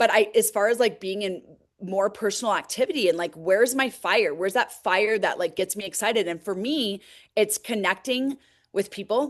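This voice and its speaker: This is a woman's voice at a medium pitch. She speaks with ordinary pitch variation. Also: moderate pace, quiet background. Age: 40s. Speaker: direct sales team leader. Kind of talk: motivational team call talk. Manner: casual, filler-heavy.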